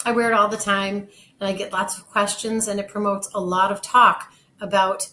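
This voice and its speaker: A plain, everyday voice speaks at a moderate pace. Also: woman. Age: 60s. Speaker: kidney donor. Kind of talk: personal testimony.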